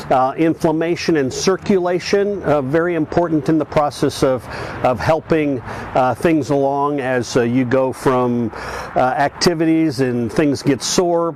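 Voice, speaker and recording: A man speaks at a fairly high pitch with very even loudness. Noticeable background noise runs behind him. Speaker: senior athlete and fitness channel host. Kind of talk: video monologue. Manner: halting, many fillers.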